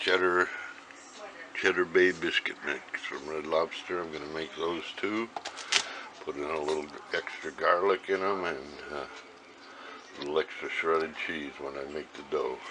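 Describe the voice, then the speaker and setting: A man with an American accent and a very deep, low pitch, fairly slow and fairly even in intonation, his loudness swinging widely over noticeable background noise. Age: 70s. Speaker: home cook, grandfather. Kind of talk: casual talk to camera, cooking demonstration. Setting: home kitchen.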